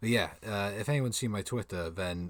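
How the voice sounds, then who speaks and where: A man speaks quietly at a fairly low pitch with ordinary pitch variation. The recording is very clean, with a silent background. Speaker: manga reaction streamer. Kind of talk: live stream reading and reacting to manga. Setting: home streaming setup. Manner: soft-spoken.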